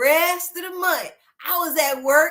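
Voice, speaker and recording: A woman with a Southern US accent, an extremely high pitch, ordinary pitch variation, an animated, bright and sharp tone, and a fairly slow pace. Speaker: online talk show host. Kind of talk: casual chat.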